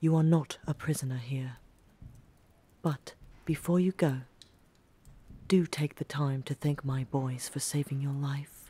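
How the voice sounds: Putting on a character voice, a woman speaks at an extremely low pitch with a dark, mellow tone and a slightly husky edge, using fairly even intonation at a fairly slow pace with long, frequent pauses.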